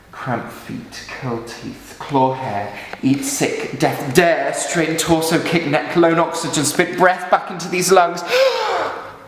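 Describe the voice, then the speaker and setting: Speaking at a very slow pace, a man with a high pitch uses lively intonation and big swings in loudness, against noticeable background noise. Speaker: stage actor. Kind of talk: dramatic monologue.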